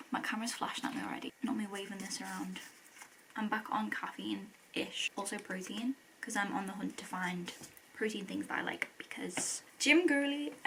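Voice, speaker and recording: A woman speaks in a British accent, with noticeable background noise behind her. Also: medium pitch for a woman, ordinary pitch variation. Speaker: vlogger. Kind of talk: casual vlog chat to camera. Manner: fast; animated.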